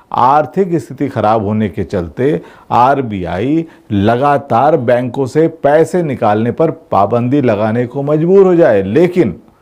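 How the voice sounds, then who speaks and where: In a quiet background, a man talks very slowly in a dark, mellow tone, his pitch swinging very widely. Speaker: political commentator. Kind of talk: commentary. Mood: sarcastic, critical. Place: studio.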